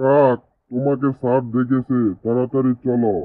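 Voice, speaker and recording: A man's cartoonish character voice at a medium pitch, with monotone, flat intonation. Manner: brusque, hurried.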